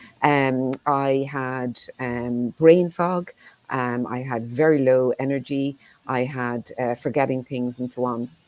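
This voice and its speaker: A woman with an Irish accent speaks very slowly in a very deep, low voice, her intonation fairly even. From Ireland. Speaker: menopause clinic founder and CEO. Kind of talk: panel discussion.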